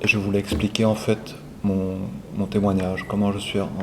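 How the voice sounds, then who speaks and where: Amid noticeable background noise and audible room echo, a man speaks at a fairly low pitch and a moderate pace with monotone, flat intonation. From Belgium, Brussels. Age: 60s. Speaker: retired airline pilot. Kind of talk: testimony.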